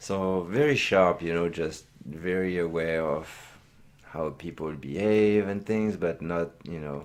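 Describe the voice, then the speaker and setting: A man with a strong French accent and a very deep, low pitch speaks at a fairly slow pace, his pitch varying in an ordinary way. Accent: thick French. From France, Reims area. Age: 30s. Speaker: host's husband. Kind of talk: casual chat. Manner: halting.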